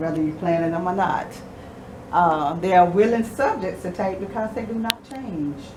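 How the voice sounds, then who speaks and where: Noticeable noise sits in the background. Room echo is audible too. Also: woman. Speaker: photography guild member presenting. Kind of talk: presentation to a small audience. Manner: fast.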